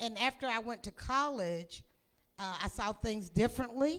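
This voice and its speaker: A woman's fairly high-pitched voice in a Tennessee accent, lively in intonation and fairly slow in pace. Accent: US Southern (Tennessee). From Middle Tennessee (Lynchburg). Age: 60s. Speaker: whiskey brand representative. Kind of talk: presentation at tasting event.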